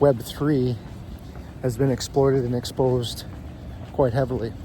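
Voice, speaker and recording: A fairly slow-paced man amid noticeable background noise. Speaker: crypto YouTuber. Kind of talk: casual explainer monologue. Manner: monotone; hesitant with fillers.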